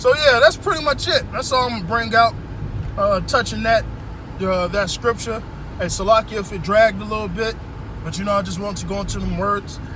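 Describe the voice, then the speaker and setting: A man talks at a fairly quick pace while noticeable background noise carries on behind him. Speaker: Hebrew Israelite bible teacher. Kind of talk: scripture teaching. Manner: halting, stumbles over words; slurred speech.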